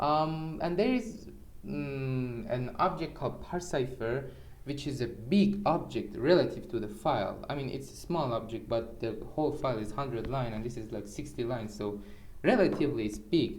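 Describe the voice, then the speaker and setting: In a Persian accent, the speaker uses lively intonation at a moderate pace, with noticeable background noise and audible room echo. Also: man, medium pitch for a man. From Iran. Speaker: programmer. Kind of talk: tutorial. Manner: halting; casual.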